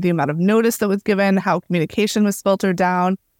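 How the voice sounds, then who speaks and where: A woman with an American accent speaks at medium pitch with ordinary pitch variation in a dry, close sound with no echo. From Florida, Cuban American. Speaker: novelist. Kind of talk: interview. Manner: frequent fillers, casual.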